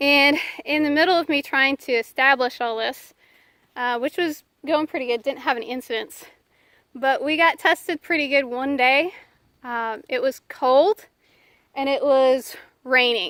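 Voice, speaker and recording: In a very clean recording with a silent background, a bright, sharp voice moves at a moderate pace with ordinary pitch variation and long, frequent pauses, the sound dry and close with no echo. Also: woman, high pitch for a woman. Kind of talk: casual outdoor devotional storytelling. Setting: outdoors in a pasture. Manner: halting, many fillers.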